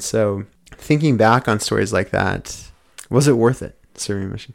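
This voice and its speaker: A man has an ordinary speaking voice at a medium pitch. His pitch varies in an ordinary way. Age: 30s. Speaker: podcast host. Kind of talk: casual interview.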